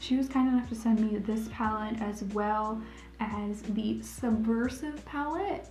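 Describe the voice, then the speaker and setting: Music plays in the background as a woman speaks with an American accent. Her pitch is fairly high. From Ohio, USA. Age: 20s. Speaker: makeup tutorial creator. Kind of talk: casual talk to camera.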